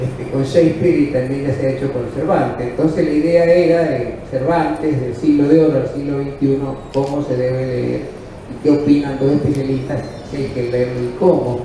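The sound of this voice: A man speaks at a medium pitch with fairly even intonation. Audible room echo surrounds the voice. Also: moderate pace.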